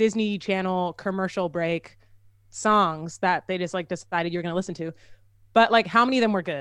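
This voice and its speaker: The recording is very clean with a silent background, and a normal speaking voice keeps a moderate pace with ordinary pitch variation. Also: woman. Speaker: singer-songwriter and content creator. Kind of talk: casual chat.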